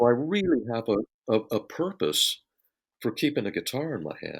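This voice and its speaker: A man with an American accent and vocal fry at a moderate pace, on a very clean recording with a silent background. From US Southwest, Phoenix. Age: 60s. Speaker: session guitarist. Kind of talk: interview. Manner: halting.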